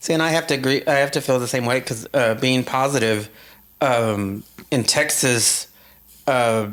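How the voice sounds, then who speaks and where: A man with an unremarkable speaking voice talks at a moderate pace and medium pitch, with fairly even intonation and very even loudness. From Latin American heritage. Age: 50s. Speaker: podcast guest. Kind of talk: casual chat.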